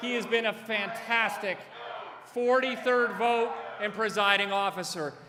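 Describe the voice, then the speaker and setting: A man projects a raised voice at an extremely high pitch, at a fairly slow pace. His intonation stays fairly even over noticeable background noise. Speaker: politician. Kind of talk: introduction speech. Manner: loud.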